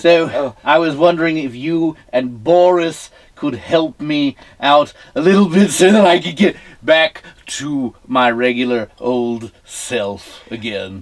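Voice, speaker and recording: Using a put-on character voice, a man speaks at a fairly slow pace in a fairly high pitch. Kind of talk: campy horror-host comedy. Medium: comedy sketch. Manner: prim and proper, mock-distressed.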